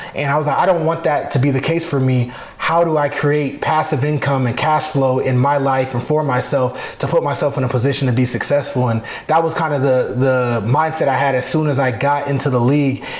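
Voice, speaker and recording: A man with an American accent speaks at a fairly quick pace, with a fairly high pitch, fairly even intonation, very even loudness and hardly any pauses. Audible room echo and noticeable background noise are present. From Arizona. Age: 30s. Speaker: professional football player. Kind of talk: interview.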